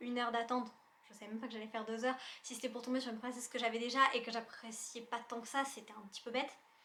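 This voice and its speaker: Amid noticeable background noise, a woman speaks very fast in a high pitch, her loudness swinging widely. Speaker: YouTuber. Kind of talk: casual vlog review. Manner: animated.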